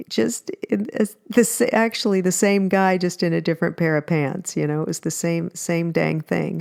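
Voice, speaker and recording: A woman with an unremarkable speaking voice talks at a fairly low pitch with ordinary pitch variation, the sound dry and close with no echo. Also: moderate pace. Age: 60s. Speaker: podcast host, matchmaker and relationship coach. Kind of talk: solo podcast talk. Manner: casual, with frequent fillers and restarts.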